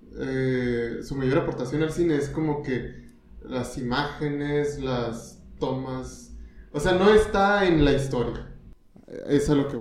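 A man with a Mexican accent speaks at a very slow pace in a fairly high voice, with ordinary pitch variation. Noticeable background noise and audible room echo are present. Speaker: podcast co-host and comedian. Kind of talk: casual chat.

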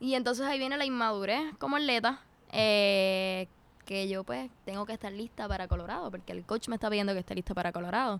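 A woman's unremarkable speaking voice, medium in pitch, fairly quick, with lively intonation. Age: 20s. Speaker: footballer and psychology student. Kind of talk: interview.

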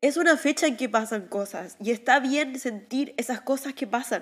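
A woman with a high pitch speaks at a fairly slow pace with ordinary pitch variation, in a very clean recording with a silent background. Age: 30s. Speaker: life coach. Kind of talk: personal reflective monologue. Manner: halting.

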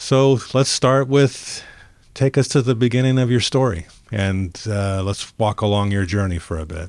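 In a very clean recording with a silent background, a man speaks at a fairly low pitch and a moderate pace. He has an ordinary speaking voice with ordinary pitch variation. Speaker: interviewer. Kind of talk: casual interview.

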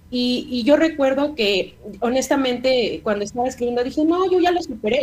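A high-pitched woman at a moderate pace with lively intonation, over noticeable background noise. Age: 30s. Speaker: book co-author, university staff. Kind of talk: radio interview.

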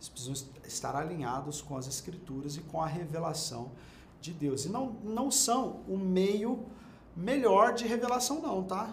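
Audible room echo surrounds a man's high voice, which swings very widely in pitch. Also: fairly slow pace. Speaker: bible teacher. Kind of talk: bible study lecture. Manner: conversational.

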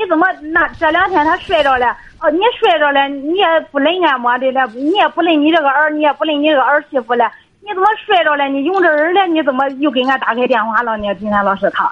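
Speaking at a very fast pace, a woman with a high pitch sounds animated, her intonation lively. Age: 30s. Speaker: caller. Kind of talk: phone-in advice call.

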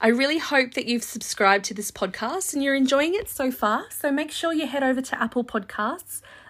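A woman speaks with an Australian accent at a moderate pace. Her pitch is high and her intonation lively. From Australia, far north coast New South Wales. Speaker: podcast host and travel agent. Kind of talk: solo podcast monologue.

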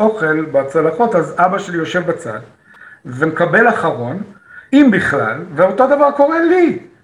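A man talks with lively intonation amid noticeable background noise and audible room echo. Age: 50s. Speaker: actor and comedy teacher. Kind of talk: interview. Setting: video call.

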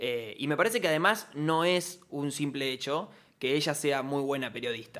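The voice belongs to a man and sits fairly high. A bright, sharp tone colors his speech. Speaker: radio host. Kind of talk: casual chat.

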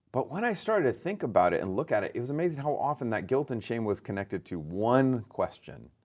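A man with an American accent and a medium pitch talks very fast with hardly any pauses and very wide pitch swings. The recording is very clean, with a silent background. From California (Lodi). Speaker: theology professor and author. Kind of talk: interview conversation.

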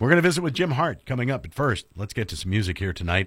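A man speaks with vocal fry and very wide pitch swings on a very clean recording with a silent background. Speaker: radio host. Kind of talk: radio show hosting and interview. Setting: studio.

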